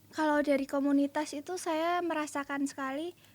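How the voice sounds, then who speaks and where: The recording is very clean, with a silent background. A woman speaks at a moderate pace with fairly even intonation. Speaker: young writer. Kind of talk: radio interview. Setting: radio studio.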